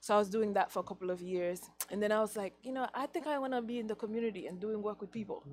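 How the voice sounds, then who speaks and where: A woman talks at a very fast pace with a Haitian accent. Her pitch is fairly high. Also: ordinary pitch variation. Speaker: teacher. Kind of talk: interview.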